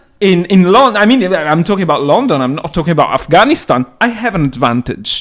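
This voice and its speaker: A man with a non-native accent, high-pitched, with very wide pitch swings, a fairly quick pace and hardly any pauses, over noticeable background noise. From outside Britain. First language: not English. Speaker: podcast co-host. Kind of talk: casual discussion. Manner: halting.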